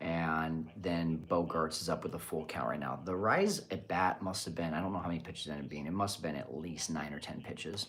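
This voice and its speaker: Over noticeable background noise, a man with a very deep, low voice talks at a fairly quick pace with hardly any pauses and fairly even intonation. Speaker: baseball podcast host. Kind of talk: live watch party commentary. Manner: quiet, keeping voice down.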